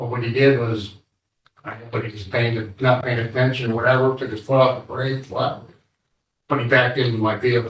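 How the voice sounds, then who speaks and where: A man speaks at a medium pitch and a fairly quick pace, his voice somewhat breathy. His intonation is monotone and flat, while his loudness swings widely. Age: 60s. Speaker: assault victim testifying in court. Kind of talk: courtroom testimony. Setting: courtroom. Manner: halting.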